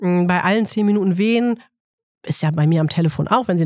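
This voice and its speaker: Speaking fairly quickly, a woman with an unremarkable speaking voice shows ordinary pitch variation. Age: 40s. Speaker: midwife. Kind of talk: casual interview chat.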